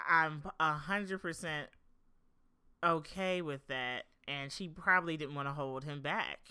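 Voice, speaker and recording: Speaking in an American accent, a woman with a very deep, low voice and a bright, sharp tone talks at a fairly slow pace with fairly even intonation and long, frequent pauses, recorded very cleanly over a silent background. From Philadelphia area, South Jersey. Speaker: podcast co-host, singer-songwriter. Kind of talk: casual chat.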